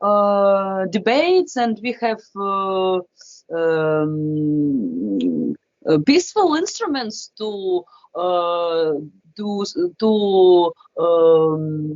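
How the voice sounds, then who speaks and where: This woman, speaking with a Ukrainian accent at a very slow pace, has a medium pitch and lively intonation. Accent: Ukrainian Russian-speaking accent in English. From Ukraine, Kharkiv. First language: Russian. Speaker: classical violinist. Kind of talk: interview. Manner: halting, many hesitations.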